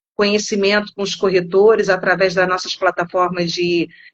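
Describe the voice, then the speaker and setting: Her voice sits at a medium pitch, and this woman keeps her intonation fairly even. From Rio de Janeiro, Brazil. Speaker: insurance company product specialist. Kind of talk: live-stream interview. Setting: online live stream.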